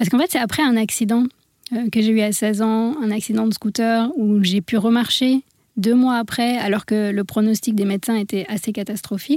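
On a very clean recording with a silent background, a woman uses a normal speaking voice at a moderate pace, with a fairly high pitch and fairly even intonation. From India (born in France). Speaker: medical doctor and wellness coach, author. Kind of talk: radio interview.

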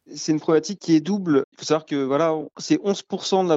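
At a fairly quick pace, a man with a fairly high pitch speaks with fairly even intonation. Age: 20s. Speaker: startup co-founder. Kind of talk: interview. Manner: hesitant, filler words.

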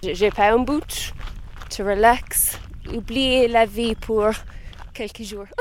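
A woman with an Irish accent and fairly high pitch, at a very slow pace with long, frequent pauses, fairly even intonation and big swings in loudness, amid noticeable background noise. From Ireland. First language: English (speaking French). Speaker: pilgrim walker. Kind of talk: casual chat. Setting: outdoors. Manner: halting.

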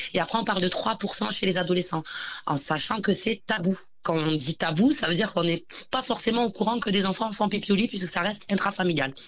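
Using a normal speaking voice, a woman at medium pitch speaks at a fairly quick pace with ordinary pitch variation and very even loudness. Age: 30s. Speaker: entrepreneur, company founder. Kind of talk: interview.

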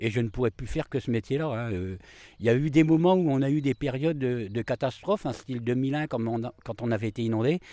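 Medium-pitched man's voice with lively intonation at a fairly quick pace. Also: dry, close sound with no echo. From northern France, Amiens area (Picardy). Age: 50s. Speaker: market gardener. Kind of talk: interview. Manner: halting, many hesitations.

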